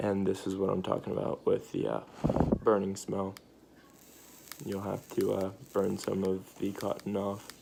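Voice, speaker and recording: The voice is quiet and the pace moderate, broken by long, frequent pauses. Noticeable background noise runs underneath. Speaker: vaping tutorial youtuber. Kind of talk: tutorial. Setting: at home at night. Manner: hesitant, many fillers; trying to speak quietly.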